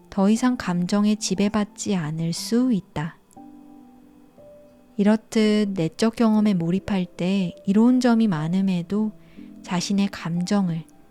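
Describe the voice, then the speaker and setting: Music plays in the background as a woman speaks at a very slow pace and medium pitch. Her intonation stays fairly even, with long, frequent pauses. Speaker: audiobook narrator. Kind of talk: audiobook reading.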